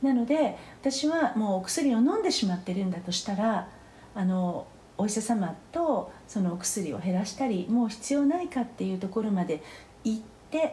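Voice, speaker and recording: Somewhat breathy and dark, mellow in tone, a woman speaks at a moderate pace with very wide pitch swings and audible room echo. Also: fairly high pitch for a woman. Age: 50s. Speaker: phytotherapist. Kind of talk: interview. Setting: remote recording.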